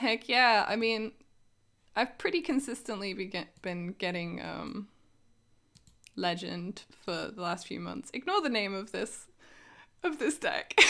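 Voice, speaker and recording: A woman's fairly high, bright, sharp voice with vocal fry and very wide pitch swings, at a fairly slow pace with long, frequent pauses, on a very clean recording with a silent background. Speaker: game streamer. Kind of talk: casual live stream chat. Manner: quiet; casual, hesitant with fillers.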